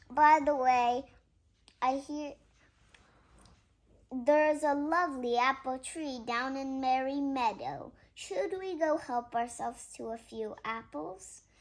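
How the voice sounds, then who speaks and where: A woman's high, put-on character voice, with long, frequent pauses. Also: fairly slow pace. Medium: read story.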